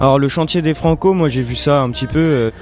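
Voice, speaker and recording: Music plays behind a man who is talking. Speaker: musician and singer. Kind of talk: interview answer. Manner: hesitant, casual.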